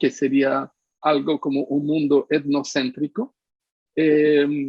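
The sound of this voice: A man speaks slowly at a fairly high pitch, with a slightly husky edge. His intonation is monotone and flat, and the sound is dry and close with no echo.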